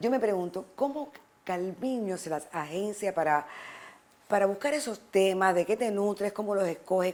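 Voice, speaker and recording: Using lively intonation and a warm, animated tone, a woman speaks at medium pitch and a moderate pace. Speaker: TV talk show host. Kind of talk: interview.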